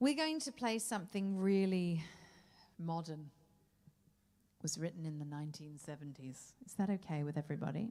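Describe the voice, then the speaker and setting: In a very clean recording with a silent background, a woman with a fairly low, dark and mellow voice speaks at a moderate pace with lively intonation, big swings in loudness, and long, frequent pauses. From Australia. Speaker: jazz singer. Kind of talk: stage banter between songs. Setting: stage with audience. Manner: animated.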